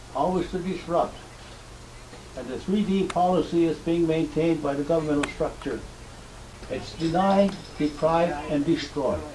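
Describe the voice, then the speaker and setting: Noticeable background noise sits behind a man with a high pitch and fairly even intonation. He speaks at a moderate pace with long, frequent pauses. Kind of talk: public address.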